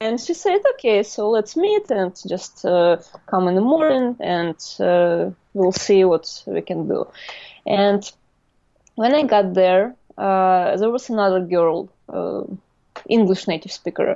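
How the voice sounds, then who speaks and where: A woman speaks with a Russian accent at a fairly slow pace. Her delivery has long, frequent pauses. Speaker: artist. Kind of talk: interview storytelling. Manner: halting.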